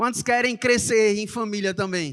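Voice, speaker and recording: The speaker has a Recife accent. The tone is animated. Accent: Recife (Pernambuco) accent, noticeable. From Brazil, Recife (Pernambuco). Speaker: church announcer. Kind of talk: church announcements. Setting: church service.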